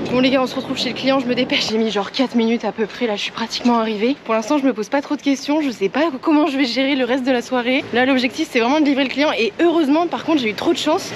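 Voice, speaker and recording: A woman's high voice at a very fast pace, ordinary pitch variation, and noticeable background noise. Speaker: food delivery courier and vlogger. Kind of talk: casual vlog narration. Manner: animated; hushed speech in stairwell.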